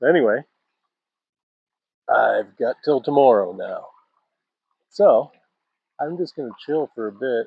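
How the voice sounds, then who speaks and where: A man at a moderate pace with a relaxed tone. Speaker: outdoor vlogger. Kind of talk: casual vlog monologue. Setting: outdoors. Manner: loud.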